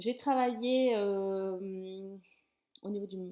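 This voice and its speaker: Her medium pitch, ordinary pitch variation and dark, mellow tone mark this woman's voice. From southern France, Toulouse. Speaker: sex therapist and life coach. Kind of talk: talking-head explainer video. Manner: casual, with frequent hesitations.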